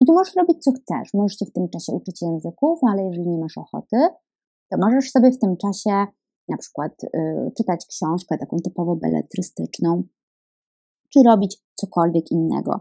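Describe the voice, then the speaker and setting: A woman talks at a fairly quick pace, her voice dry and close with no echo on a very clean recording with a silent background. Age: 20s. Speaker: dietitian and podcast host. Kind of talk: solo podcast monologue.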